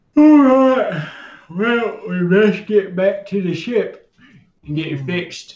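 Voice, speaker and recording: A put-on character voice comes out at a fairly slow speed. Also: man, high pitch for a man. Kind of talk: casual, colloquial.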